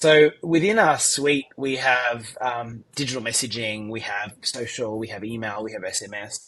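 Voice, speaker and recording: Speech at a moderate pace runs with hardly any pauses, big swings in loudness, and ordinary pitch variation. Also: man, medium pitch for a man. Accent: Australian. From Australia. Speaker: tech company founder and CEO. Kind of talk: interview.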